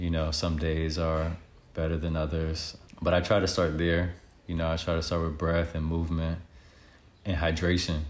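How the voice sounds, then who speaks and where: The voice has a calm tone and a flat, monotone delivery in an American accent. It moves at a moderate pace with long, frequent pauses. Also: man, very deep, low pitch for a man. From Connecticut, US (Bridgeport). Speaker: artist and healer. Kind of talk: interview.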